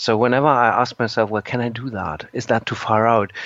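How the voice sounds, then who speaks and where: Noticeable background noise sits behind a man with a German accent. He talks at a fairly quick pace and a medium pitch. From Germany. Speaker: musician and composer. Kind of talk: interview. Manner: halting.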